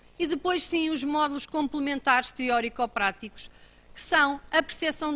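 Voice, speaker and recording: With a European Portuguese accent, the speaker projects a raised voice in a bright, sharp tone with ordinary pitch variation, captured in a very clean recording against a silent background. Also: woman. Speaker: government road-safety official. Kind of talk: conference talk. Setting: auditorium.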